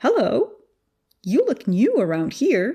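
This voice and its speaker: A woman's put-on character voice, high-pitched and at a fairly slow pace. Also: quiet background. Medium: read story. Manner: cheerful, kindly.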